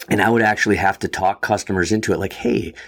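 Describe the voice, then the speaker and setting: A fairly low-pitched man with an Upper Midwest accent at a fairly quick pace, on a very clean recording with a silent background. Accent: Upper Midwest American. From Wisconsin, US Midwest. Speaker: fly fishing guide and shop owner. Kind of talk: casual interview.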